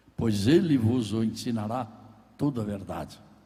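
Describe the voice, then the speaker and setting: A man's dark, mellow, somewhat breathy voice at a very slow pace, with audible room echo. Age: 80s+. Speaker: pastor. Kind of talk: sermon. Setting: church.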